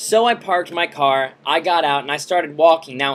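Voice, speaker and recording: This man's voice is fairly high in pitch. His pitch varies in an ordinary way. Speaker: video blogger. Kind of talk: casual vlog storytelling. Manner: loud.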